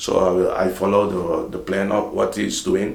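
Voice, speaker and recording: A man speaks at a fairly slow pace. Audible room echo and noticeable background noise are present. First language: Dutch. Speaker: vlogger. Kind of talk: casual vlog talk. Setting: home office, early morning. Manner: halting, with repetitions.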